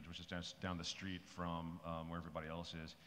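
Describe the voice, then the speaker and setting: There is a bit of background noise as a man talks. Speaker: panelist, voice actor. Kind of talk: panel discussion answer. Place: hall. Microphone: podium.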